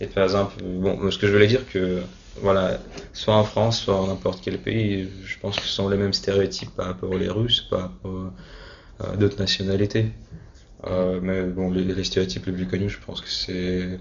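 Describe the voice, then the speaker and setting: Against noticeable background noise, a man with a very deep, low pitch speaks at a moderate pace with fairly even intonation. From Russia (Moscow). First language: Russian (speaking French). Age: 20s. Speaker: university student. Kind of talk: interview. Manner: halting, many hesitations and repeated words.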